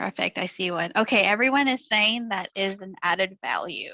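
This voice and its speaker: A woman speaks at a medium pitch with a bright, sharp tone and ordinary pitch variation. The sound is dry and close with no echo, and the background is quiet. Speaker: school counselor. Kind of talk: presentation to parents. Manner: fast.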